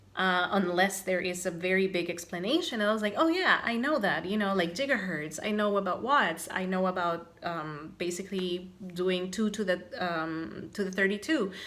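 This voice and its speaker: Amid noticeable background noise and audible room echo, a woman with a medium pitch speaks at a moderate pace with ordinary pitch variation and hardly any pauses. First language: not English or German. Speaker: craft podcaster. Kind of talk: casual vlog chat. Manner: animated.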